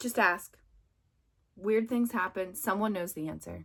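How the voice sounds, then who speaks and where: A woman with an American accent, moderate pace and ordinary pitch variation. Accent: Pittsburgh accent, noticed by students. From Pittsburgh, US. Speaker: substitute teacher coach, former substitute teacher. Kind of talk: casual advice talk to camera. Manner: casual, many fillers (um, like).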